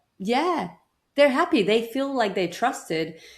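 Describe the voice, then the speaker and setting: A woman with a non-native accent at a fairly slow pace, on a very clean recording with a silent background. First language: not English. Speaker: burnout prevention coach. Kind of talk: interview.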